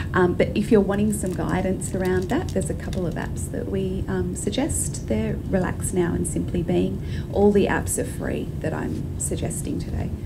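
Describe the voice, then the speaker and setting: Noticeable background noise runs behind a woman who speaks at a moderate pace with hardly any pauses. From Australia. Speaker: clinical psychologist. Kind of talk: presentation talk. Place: hall. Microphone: handheld.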